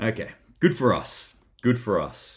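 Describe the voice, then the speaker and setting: Somewhat breathy, a man talks at a medium pitch with an Australian accent. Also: very clean recording, silent background. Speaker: preparedness vlogger. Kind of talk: solo news commentary. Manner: casual, chatty.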